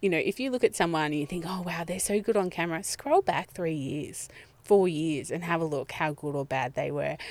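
A woman with an Australian accent talks at a fairly quick pace, her pitch fairly low with ordinary variation. The recording is very clean, with a silent background. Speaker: business coach and marketing speaker. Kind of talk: casual interview. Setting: podcast van by a lake.

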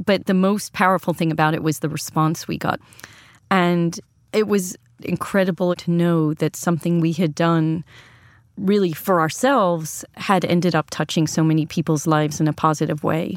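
In a very clean recording with a silent background and a dry, close sound with no echo, a woman uses a normal speaking voice at a fairly low pitch, a moderate pace, fairly even intonation and very even loudness. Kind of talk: conversational interview.

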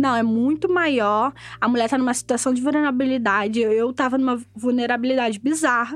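The woman's voice sits at a high pitch. Behind her, music is playing. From Rio de Janeiro, Maré. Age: 20s. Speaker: student and community organizer. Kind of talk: interview testimony. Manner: casual, uses filler 'tipo'.

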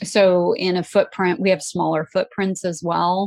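A woman with an American accent and an unremarkable speaking voice, medium in pitch, at a moderate pace, with a dry, close sound, no echo and a quiet background. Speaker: entrepreneur. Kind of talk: interview.

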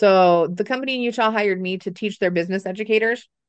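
A woman at a fairly quick pace with ordinary pitch variation. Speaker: business educator and entrepreneur. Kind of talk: casual interview. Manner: loud, talkative, opinionated.

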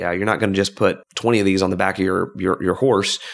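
Words come from a man at a very fast pace. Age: 30s. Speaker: whiskey company founder. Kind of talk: casual interview.

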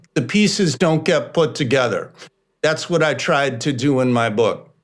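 A man with an American accent speaks at a fairly slow pace in a plain, everyday voice, his fairly high pitch carried by lively intonation. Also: quiet background. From Chicago. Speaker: journalist and author. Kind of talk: interview.

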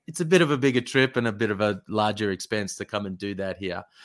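A man in an Australian accent speaks at a moderate pace with lively intonation. The recording is very clean and the background silent. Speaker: basketball recruitment manager and former player. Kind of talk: interview.

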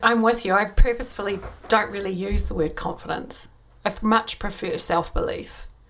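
At a moderate pace, a woman speaks in a normal speaking voice, medium-pitched with ordinary pitch variation. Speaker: podcast host and coach. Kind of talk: interview chat with promo reads.

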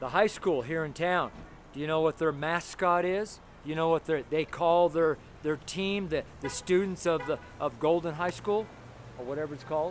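This man has an American accent and a fairly high pitch. He speaks at a moderate pace with fairly even intonation. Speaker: street preacher. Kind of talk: street sermon. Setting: outdoors. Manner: loud; gritty, blunt.

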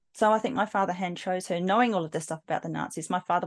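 Speaking at a very fast pace, a woman with an Australian accent uses a medium pitch with ordinary variation. The background is quiet, and the sound is dry and close with no echo. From South Australia, Adelaide. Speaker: psychic medium. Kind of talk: interview testimony.

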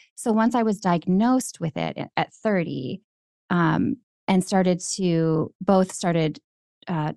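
The voice has a dark, mellow tone and an American accent. Its pitch varies in an ordinary way. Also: woman, dry, close sound with no echo. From Minnesota, Twin Cities suburbs. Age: 40s. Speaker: writer and podcast host. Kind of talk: interview.

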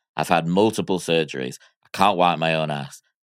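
A man with an American accent speaks at a very deep, low pitch with vocal fry and ordinary pitch variation. The recording is very clean with a silent background and a dry, close sound with no echo. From Miami, US. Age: 40s. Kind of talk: casual chat.

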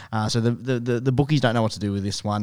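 Man with an Australian accent at a very fast pace, very clean recording with a silent background. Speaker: sports betting podcast co-host. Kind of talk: casual chat.

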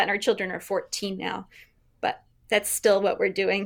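On a very clean recording with a silent background, a woman of medium pitch speaks with an American accent. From Vermont, US. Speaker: high school English teacher. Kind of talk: interview. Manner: animated.

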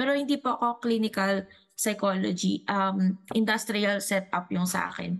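A woman in a normal speaking voice, medium pitch, fairly even intonation and a moderate pace. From Dumaguete, Visayas, Philippines. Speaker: returning guest, psychology-trained storyteller. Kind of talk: casual storytelling. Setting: online call.

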